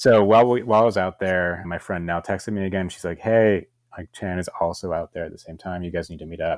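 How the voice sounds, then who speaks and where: This man talks at a very fast pace with hardly any pauses, his very deep, low pitch rising and falling through big swings in loudness. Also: fairly even intonation. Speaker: host's boyfriend. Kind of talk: casual chat.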